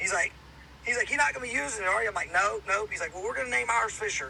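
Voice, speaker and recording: A man with a slight Southern US accent talks at a very fast pace over noticeable background noise. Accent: slight Southern country. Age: 30s. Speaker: hunter and outdoors podcaster. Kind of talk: casual chat.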